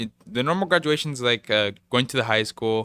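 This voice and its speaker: The voice has a bright, sharp tone with a Hawaiian accent and ordinary pitch variation. The recording is very clean, with a silent background. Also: man. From Hawaii, Waianae. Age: 20s. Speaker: student and esports player. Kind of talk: casual chat.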